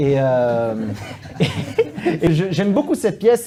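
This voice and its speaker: A man speaks with a slight Belgian accent and very wide pitch swings. Noticeable background noise runs underneath. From Belgium. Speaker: stage actor and playwright. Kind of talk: interview. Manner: halting, many fillers and repetitions.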